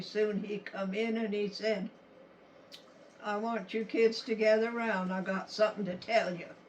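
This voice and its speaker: The speaker has a Western US accent and a fairly slow pace. Intonation stays fairly even, with noticeable background noise. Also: woman. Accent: rural Western American. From Utah, USA. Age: 80s+. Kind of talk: family storytelling to camera.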